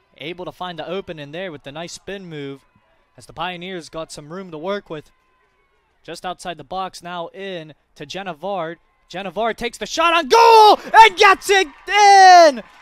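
The man's loudness swings widely, and the recording is dry with no echo. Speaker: sports play-by-play commentator. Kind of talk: live sports commentary over match highlights. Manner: exclaims goals with nicknames, clipped short phrases. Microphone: headset.

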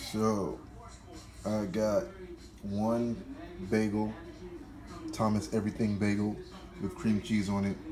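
A man speaks fairly slowly at a fairly low pitch, monotone and flat, with long, frequent pauses. Noticeable background noise is present. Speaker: fitness vlogger. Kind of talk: casual vlog chat.

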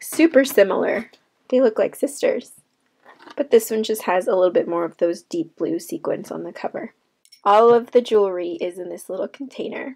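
Lively in intonation, a woman with a fairly high pitch talks at a moderate pace in a plain, everyday voice, her loudness swinging widely. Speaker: craft vlogger. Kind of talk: narrated craft tutorial.

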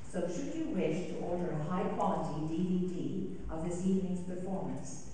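A woman with a fairly low voice speaks at a moderate pace. The recording has strong room echo and light background noise. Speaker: concert announcer. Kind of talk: read announcement. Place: church.

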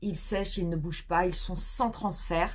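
At a fairly slow pace, the speech comes out somewhat breathy. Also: woman. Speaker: beauty vlogger. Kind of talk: casual chat. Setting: video.

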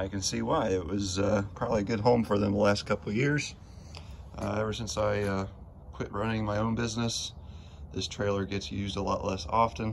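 Over light background noise, a man speaks fairly quickly with a fairly low pitch and fairly even intonation. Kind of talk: casual vlog chat. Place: street. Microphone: phone near.

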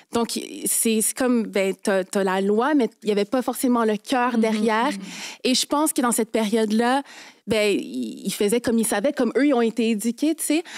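Here a woman speaks at a fairly high pitch and a moderate pace. Her pitch variation is ordinary, and the background is quiet. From Quebec, Haitian parents. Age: 20s. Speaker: lawyer. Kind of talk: testimony. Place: studio. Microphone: studio mic.

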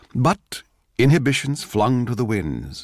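Fairly slow speech with vocal fry, dry and close with no echo. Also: man. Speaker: actor. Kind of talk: radio drama reading.

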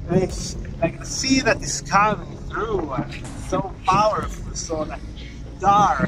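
A man talks at a very slow pace. Noticeable background noise runs under him. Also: ordinary pitch variation. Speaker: travel vlogger. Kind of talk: casual vlog chat. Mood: excited, awed. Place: beach. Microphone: phone near.

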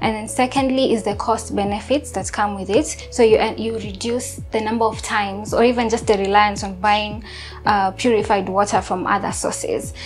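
With faint music in the background, a woman speaks at a moderate pace with hardly any pauses. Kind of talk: interview answer. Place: kitchen. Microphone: lapel.

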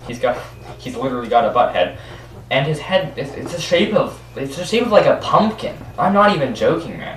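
A man speaks at a fairly quick pace, with audible room echo and light background noise. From Canada. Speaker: YouTuber. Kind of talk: casual screen-recording commentary. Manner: animated; halting, with frequent repeats and fillers. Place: home room. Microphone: webcam.

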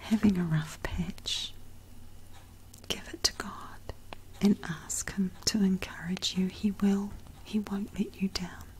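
Soft-spoken and gentle in tone, the speaker moves at a very slow pace with long, frequent pauses over light background noise. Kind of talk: devotional testimony talk. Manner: soft-spoken, gentle, hushed ASMR voice.

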